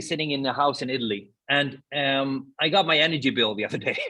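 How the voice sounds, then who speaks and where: A man speaks at a fairly high pitch in a Swedish accent. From Sweden. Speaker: podcast co-host, sustainability speaker. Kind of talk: casual conversation.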